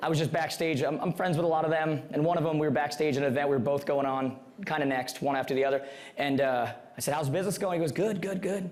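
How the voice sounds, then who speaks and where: Amid noticeable background noise and audible room echo, a man with a fairly high pitch talks very fast in an animated tone. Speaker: real estate coach. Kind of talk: seminar presentation.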